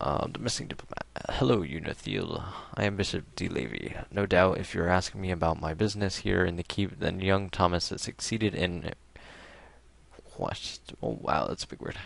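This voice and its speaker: Speaking in an American accent at a moderate pace, the voice shows vocal fry. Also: man, very deep, low pitch for a man, ordinary pitch variation. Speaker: gaming video creator. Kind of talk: reading aloud; casual chat. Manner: halting.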